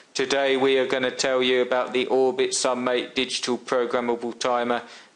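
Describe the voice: It is a put-on character voice that sounds robotic. The pace is fairly quick. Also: man, medium pitch for a man.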